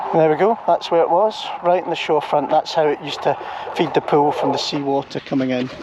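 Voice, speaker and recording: A fairly high-pitched man at a very fast pace, with ordinary pitch variation and noticeable background noise. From Scotland, Ayrshire (Troon). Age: 60s. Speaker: vlogger. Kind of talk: walking tour vlog narration. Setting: outdoors, walking by the shore. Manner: casual, conversational.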